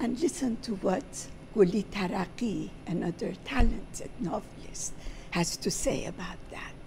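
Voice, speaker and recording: A woman talks very slowly over noticeable background noise. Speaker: speaker. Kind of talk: talk reading literary quotations. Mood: solemn, measured. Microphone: handheld.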